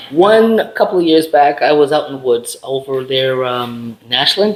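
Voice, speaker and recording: An ordinary speaking voice at a moderate pace with lively intonation. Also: man, fairly high pitch for a man. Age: 60s. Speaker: military veteran. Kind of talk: casual chat.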